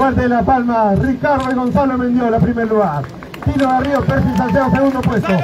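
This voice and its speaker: Over crowd noise in the background, a man speaks loudly and animatedly at a fairly quick pace, his pitch extremely high with ordinary variation. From Peru. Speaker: awards announcer. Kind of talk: live awards ceremony announcing podium winners. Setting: outdoors at the podium with an audience and PA system. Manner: animated, loud, rallying the crowd to applaud. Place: street.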